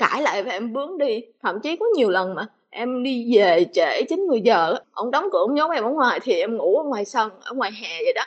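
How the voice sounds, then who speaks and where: A woman's high voice rises and falls in very wide pitch swings while she talks at a moderate pace. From Mekong Delta, southern Vietnam. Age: 20s. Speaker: guest sharing personal story. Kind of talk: testimony.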